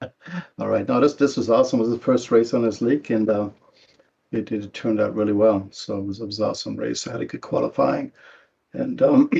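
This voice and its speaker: With a slight German accent, a man talks at a fairly quick pace. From Germany. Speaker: sim racing driver. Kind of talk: post-race interview.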